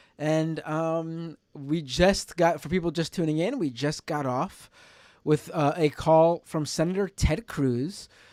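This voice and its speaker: A man speaks in a high voice, recorded dry and close with no echo. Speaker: live-stream call-in show host. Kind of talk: live call-in stream chat. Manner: casual, hesitant with fillers.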